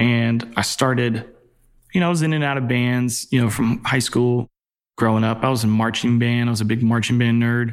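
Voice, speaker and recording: A man with an unremarkable speaking voice talks at a moderate pace and medium pitch, his loudness very even and his intonation fairly even. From Virginia, Newport News. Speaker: record label A&R executive. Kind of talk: casual interview.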